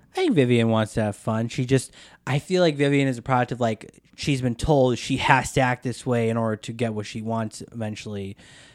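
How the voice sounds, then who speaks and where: In an unremarkable speaking voice with an American accent, a man talks at a fairly quick pace with hardly any pauses, medium pitch and fairly even intonation, on a very clean recording with a silent background and a dry, close sound with no echo. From US Upper Midwest, Wisconsin. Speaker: film and TV editor. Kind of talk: casual movie discussion podcast.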